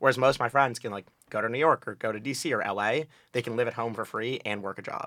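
A man with a northeastern American accent, medium pitch, a bright, sharp tone, fairly even intonation and a very fast pace, in a very clean recording with a silent background. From New Haven, Connecticut. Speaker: college student on a date. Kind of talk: casual chat.

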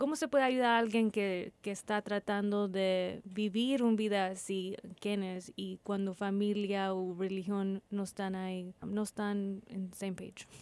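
A woman speaks fairly slowly at a medium pitch with fairly even intonation. She leaves hardly any pauses. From Texas, Corpus Christi. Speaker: radio host. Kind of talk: interview. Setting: studio. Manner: halting.

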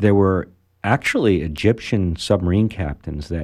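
With an American accent, a man speaks at a moderate pace and with ordinary pitch variation. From Maryland and Venezuela. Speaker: former submariner and marine salvage company owner. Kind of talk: radio interview.

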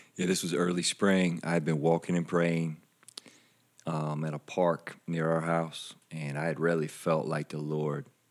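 With a Southern US accent, a man speaks at a fairly slow pace in a very deep, low pitch and a monotone, flat intonation. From South Carolina. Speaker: church pastor. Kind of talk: casual interview chat.

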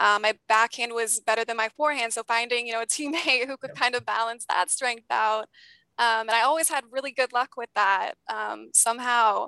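A woman's ordinary speaking voice at a fairly high pitch and moderate pace, with fairly even intonation, in a dry, close sound with no echo and a very clean recording with a silent background. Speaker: former college tennis player. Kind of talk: interview.

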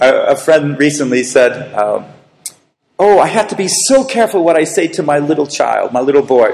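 This man has an unremarkable speaking voice, fairly high in pitch, with an American accent. His intonation is lively. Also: moderate pace. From US, Boston area. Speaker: preacher. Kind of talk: sermon with consecutive interpretation.

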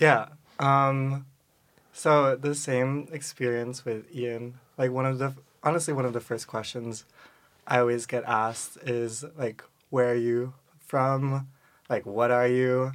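With an American accent, the speaker talks at a fairly slow pace in a monotone, flat intonation, leaving long, frequent pauses. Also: man, medium pitch for a man. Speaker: student writer. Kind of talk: casual chat.

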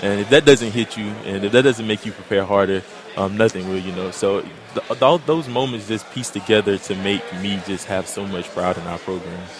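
A man speaks at a fairly low pitch. Noticeable background noise runs behind him. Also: ordinary pitch variation, moderate pace. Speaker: college football player. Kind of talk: interview.

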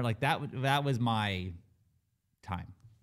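This man has a normal speaking voice with ordinary pitch variation. He talks at a fairly slow pace. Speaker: podcast co-host. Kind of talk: casual banter.

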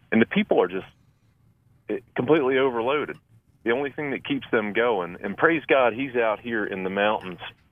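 Moderate pace, ordinary pitch variation, and long, frequent pauses. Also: man. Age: 50s. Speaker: church maintenance manager and disaster volunteer. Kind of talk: interview testimony.

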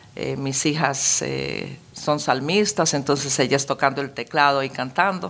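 Speaking at a fairly slow pace with hardly any pauses, a woman uses a very deep, low pitch and ordinary pitch variation. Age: 60s. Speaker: pastor. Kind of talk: testimony.

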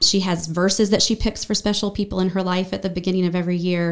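A woman with a normal speaking voice, fairly low-pitched and fairly even in intonation, on a very clean recording with a silent background. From western North Carolina (Brevard, Asheville). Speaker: church member sharing her life story. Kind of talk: personal testimony in a podcast interview.

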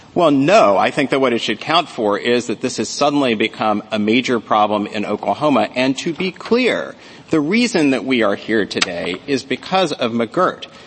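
A man talks with lively intonation and hardly any pauses. Noticeable background noise sits behind him. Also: medium pitch for a man, moderate pace. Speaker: lawyer arguing before supreme court. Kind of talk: oral argument. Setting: courtroom. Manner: formal.

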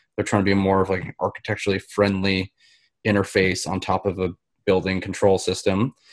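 A man's fairly low-pitched voice carries an American accent over a quiet background. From US. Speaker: guest, lighting and AV programmer. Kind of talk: casual chat.

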